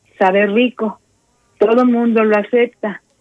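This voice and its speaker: The recording has a dry, close sound with no echo. A woman with a fairly high pitch speaks at a fairly slow pace with monotone, flat intonation. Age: old. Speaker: radio host. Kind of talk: radio interview. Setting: radio studio.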